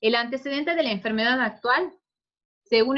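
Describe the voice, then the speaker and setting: The woman's voice sits high in pitch. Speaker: pediatric resident doctor. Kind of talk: clinical case presentation lecture.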